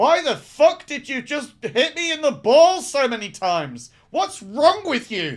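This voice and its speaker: Putting on a character voice, a man speaks at an extremely high pitch, gruff and raised in a projected voice, at a fairly slow pace with hardly any pauses. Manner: angry, indignant.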